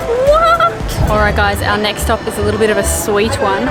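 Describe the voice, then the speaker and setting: With audible room echo and noticeable background noise, a woman speaks. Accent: Australian. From Australia. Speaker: travel vlogger. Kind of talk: travel vlog narration. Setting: outdoors. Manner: casual.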